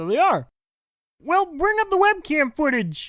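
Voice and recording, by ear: A woman uses a cartoonish character voice. Her pitch swings very widely.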